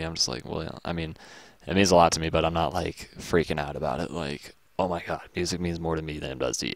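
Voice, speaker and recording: A man with an American accent talks at a very fast pace, his very deep, low pitch carrying vocal fry. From Texas. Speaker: graphics tutorial youtuber. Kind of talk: casual rant while working. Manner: hesitant, lots of fillers.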